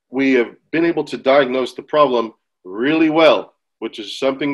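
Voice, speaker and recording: A man with an unremarkable speaking voice talks at a medium pitch in an American accent. His pace is moderate, his pitch varies in an ordinary way, and the background is quiet. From United States. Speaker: agribusiness governance advisor. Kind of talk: webinar presentation.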